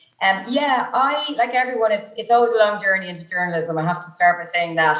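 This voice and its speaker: A woman's medium-pitched voice with an Irish accent, fairly quick and lively in intonation, with hardly any pauses over noticeable background noise. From Ireland, County Meath. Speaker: journalist. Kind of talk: panel discussion. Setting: video call.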